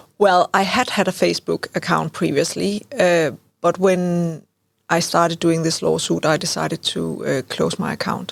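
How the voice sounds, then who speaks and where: The woman speaks with a Danish accent at a moderate pace. The sound is dry and close, with no echo. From Denmark. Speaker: lawyer and legal researcher. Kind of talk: interview. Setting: studio.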